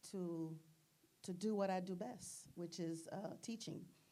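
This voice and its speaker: A woman speaks at a fairly slow pace in a medium pitch, with a dark, mellow tone. Audible room echo surrounds her voice. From Haiti. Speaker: nurse leader and educator. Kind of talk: interview. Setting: studio with live audience.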